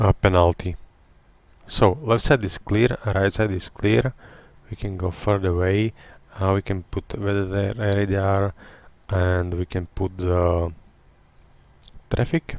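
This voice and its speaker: A man at a very slow pace, with long, frequent pauses and fairly even intonation. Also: very clean recording, silent background. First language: not English. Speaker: retired airline pilot streaming flight simulation. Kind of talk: live-stream tutorial commentary. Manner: halting, many fillers.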